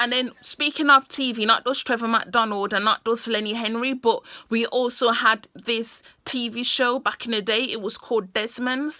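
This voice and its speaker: A woman in a British accent, fairly high-pitched with a bright, sharp tone, fairly even intonation and hardly any pauses. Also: moderate pace. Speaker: vlogger. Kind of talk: casual monologue to camera.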